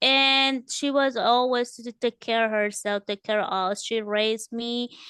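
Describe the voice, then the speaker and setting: A woman with a Spanish accent speaks at a very slow pace. Her tone is bright and sharp, and the sound is dry and close with no echo. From El Salvador. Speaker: author and home improvement business owner. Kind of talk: interview. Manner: halting.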